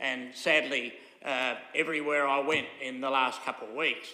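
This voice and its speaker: A man with an Australian accent talks at a moderate pace and a fairly high pitch. The recording has audible room echo and noticeable background noise. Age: 80s+. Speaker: local councillor. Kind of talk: council meeting debate. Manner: halting, many fillers.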